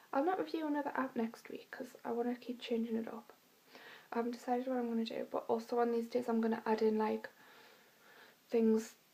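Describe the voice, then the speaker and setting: At a fairly quick pace broken by long, frequent pauses, the speech comes through noticeable background noise. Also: woman, fairly high pitch for a woman. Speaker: vlogger. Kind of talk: casual vlog monologue. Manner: fast; chatty, many fillers.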